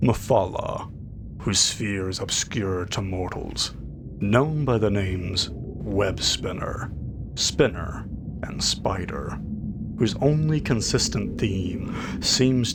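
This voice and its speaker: A man talks at a very slow pace with a fairly low pitch that swings very widely. Noticeable background noise is present. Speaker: audiobook narrator. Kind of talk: fantasy audiobook reading of in-game book.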